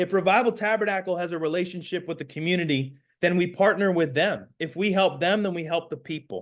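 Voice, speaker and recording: Over a quiet background, a man with a high pitch and ordinary pitch variation speaks in an animated tone at a very fast pace with hardly any pauses. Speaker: community organizer and pastor. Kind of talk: panel presentation.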